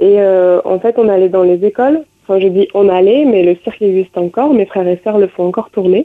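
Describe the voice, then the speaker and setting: This woman has a plain, everyday voice with a medium pitch and ordinary pitch variation. She talks at a fairly quick pace with very even loudness. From southern France, Aveyron. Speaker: musician and dancer. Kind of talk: radio interview.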